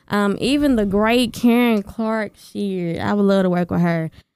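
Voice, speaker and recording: A woman with a Southern US accent speaks at a moderate pace and medium pitch, with ordinary pitch variation. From Arkansas. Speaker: gospel singer. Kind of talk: interview answers.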